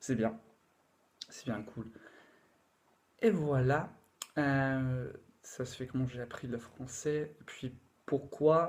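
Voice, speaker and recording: At a very slow pace with long, frequent pauses, a man speaks in a somewhat breathy, medium-pitched voice with ordinary pitch variation and big swings in loudness. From England. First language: English (speaking French). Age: 20s. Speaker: language learner. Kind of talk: casual talk to camera. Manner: halting, many fillers.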